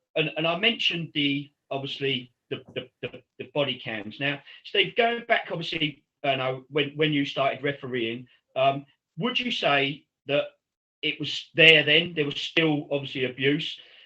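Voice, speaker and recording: Ordinary pitch variation and a moderate pace mark an ordinary speaking voice. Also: man, fairly high pitch for a man. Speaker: football podcast host. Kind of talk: casual chat.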